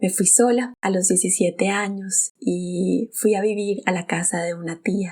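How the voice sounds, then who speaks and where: A woman with a Bogotá Colombian accent. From Colombia, Bogotá. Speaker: podcast host. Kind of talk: personal storytelling monologue.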